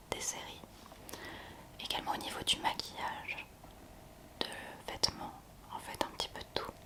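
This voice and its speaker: A woman whispers in a gentle tone at a fairly slow pace, with long, frequent pauses. Noticeable background noise is present. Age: 20s. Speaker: ASMR content creator. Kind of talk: ASMR talk to camera. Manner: soft-spoken, gentle.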